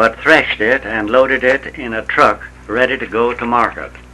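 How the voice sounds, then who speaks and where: There is noticeable background noise behind this man, whose voice sits at a medium pitch. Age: 70s. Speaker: retired farmer. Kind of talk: reading aloud. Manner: slow; formal.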